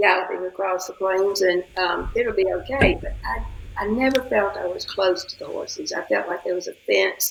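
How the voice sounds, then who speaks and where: A woman with a Southern US accent at a moderate pace, hardly any pauses, and noticeable background noise. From Atlanta, Georgia, US South. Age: 80s+. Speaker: interview guest. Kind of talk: casual chat. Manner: animated.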